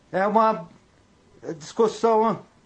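A man is speaking. His pitch is high. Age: 50s. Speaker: listener. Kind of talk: voice message.

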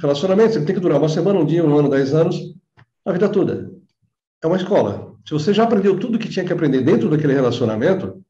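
At a very fast pace, a voice with a dark, mellow tone and lively intonation breaks into long, frequent pauses, with audible room echo around it. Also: man. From Brazil, São Bernardo (São Paulo area). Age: 50s. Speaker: holistic therapist. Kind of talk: interview.

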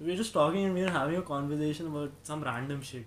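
A man speaks in a plain, everyday voice, pitched fairly high, with ordinary pitch variation. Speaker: podcast host. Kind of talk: casual chat.

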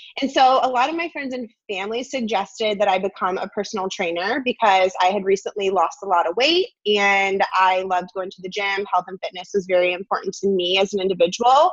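A woman with a plain, everyday voice talks at a fairly quick pace with hardly any pauses, her medium pitch moving in an ordinary way while her loudness swings widely. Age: 20s. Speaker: online entrepreneur. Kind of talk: interview.

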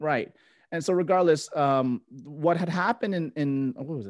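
With an American accent, a man speaks at a fairly high pitch and moderate pace with ordinary pitch variation, on a very clean recording with a silent background and a dry, close sound with no echo. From South Florida, US. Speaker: medical coding educator and podcaster. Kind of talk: casual interview conversation. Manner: halting, many fillers and repeats.

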